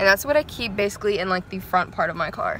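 A woman's voice comes through with noticeable background noise and a dry sound with no echo. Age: young. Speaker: vlogger. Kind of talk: casual talk to camera. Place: car. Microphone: phone near.

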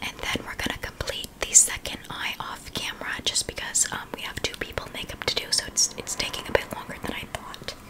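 A woman speaks softly at a moderate pace. Loud noise fills the background. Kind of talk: casual tutorial chat. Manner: soft, close-mic ASMR speech. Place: home room. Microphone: studio mic.

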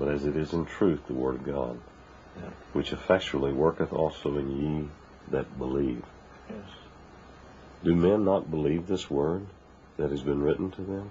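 A man speaks with a very deep, low pitch and a somewhat breathy voice. His pitch variation is ordinary, and he leaves long, frequent pauses. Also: moderate pace. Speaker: interviewer. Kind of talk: reading aloud.

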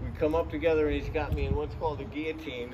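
Noticeable background noise fills the clip. Over it, a man talks at a very fast pace. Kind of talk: interview answer. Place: street. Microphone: camera far.

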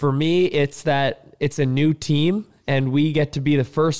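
Against a quiet background, a man with a Canadian accent talks at a moderate pace with fairly even intonation. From Canada. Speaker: professional hockey player; guest. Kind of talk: casual chat with children. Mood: playful, friendly. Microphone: studio mic.

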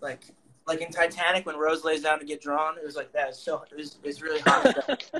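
Light background noise sits behind a man with an American accent and fairly even intonation. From suburban Pennsylvania. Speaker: comic artist and show co-host; comic artist host. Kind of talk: casual chat. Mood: joking, crude humour. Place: home room. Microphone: earbuds.

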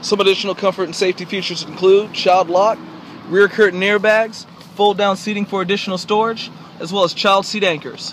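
Against noticeable background noise, the talking proceeds at a fairly quick clip. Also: man, high pitch for a man. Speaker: car dealership salesperson. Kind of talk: dealership sales pitch, video demo. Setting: in car driver's seat, video walkthrough. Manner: upbeat, salesy, clear, brisk; rehearsed, feature-list delivery with occasional uh fillers.

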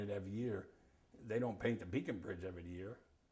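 Somewhat breathy, a man's dark, mellow voice sits at a fairly low pitch with fairly even intonation. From Hudson Valley, New York, USA. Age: 80s+. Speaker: sailor, salvage yard operator and real estate agent. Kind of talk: oral history interview answer. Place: home room.

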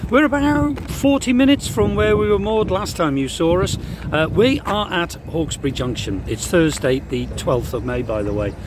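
A man speaks at a moderate pace. The sound is dry with no echo, though background noise is noticeable. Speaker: narrowboat vlogger. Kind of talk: casual vlog chat. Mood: relaxed, cheerful. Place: waterside. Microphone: phone near.

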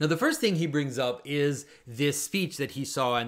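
The pace of this man's speech is moderate. Pitch shifts in an ordinary way. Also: quiet background. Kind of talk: commentary.

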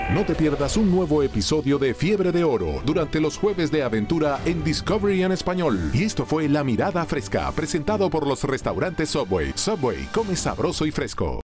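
With clear music in the background, a man speaks at a moderate pace, with hardly any pauses and very even loudness. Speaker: announcer. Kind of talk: TV promo read. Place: booth. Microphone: studio mic.

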